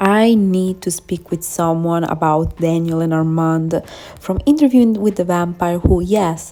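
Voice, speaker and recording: At a moderate pace, a woman speaks with a non-native accent. Her tone is dark and mellow, with fairly even intonation. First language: not English. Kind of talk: fan theory video narration. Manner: casual, hesitant.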